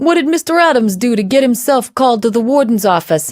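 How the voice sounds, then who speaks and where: Putting on a gruff character voice at an extremely high pitch, a man rattles along at a very fast pace with very even loudness. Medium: read story. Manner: chatty, mocking.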